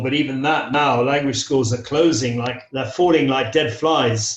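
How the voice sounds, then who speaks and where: The man's voice is somewhat breathy and fairly high in pitch. His pace is moderate and his intonation fairly even. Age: 60s. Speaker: English teacher. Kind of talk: interview. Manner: hesitant, with frequent fillers.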